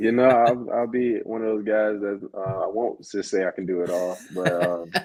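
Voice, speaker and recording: This man has a normal speaking voice, pitched fairly low, with fairly even intonation and a moderate pace. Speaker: professional football player. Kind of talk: interview. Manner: casual, with fillers.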